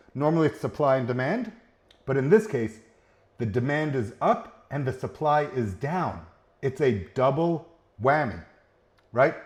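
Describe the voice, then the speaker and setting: Somewhat breathy and animated in tone, the voice comes over a quiet background. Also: man. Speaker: CEO of a trades jobs marketplace. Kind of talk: casual livestream talk to viewers.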